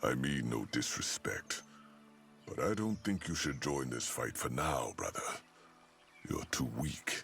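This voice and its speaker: In a put-on character voice, the speaker goes at a fairly slow pace with long, frequent pauses over clear background noise. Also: man, very deep, low pitch for a man. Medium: video game. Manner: gruff.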